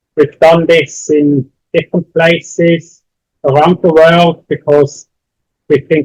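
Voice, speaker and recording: Speaking at a fairly slow pace with a Swiss accent, a man keeps a monotone, flat intonation in a dry, close sound with no echo. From Switzerland. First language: not English. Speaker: university lecturer. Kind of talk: lecture. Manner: slow, deliberate.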